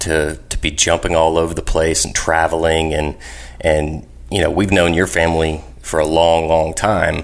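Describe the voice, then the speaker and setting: With noticeable background noise around him, a man speaks at a moderate pace in a very deep, low voice. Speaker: podcast host. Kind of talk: casual interview chat.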